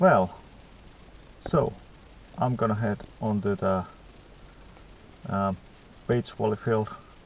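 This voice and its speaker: A fairly low-pitched man speaking very slowly, with long, frequent pauses and noticeable background noise. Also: ordinary pitch variation. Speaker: metal detecting vlogger. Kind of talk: casual vlog. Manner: halting.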